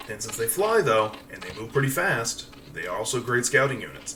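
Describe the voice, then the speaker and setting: Noticeable background noise sits behind the voice. A man speaks with lively intonation. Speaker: gaming video creator. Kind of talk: gameplay commentary. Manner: fast; casual, with fillers.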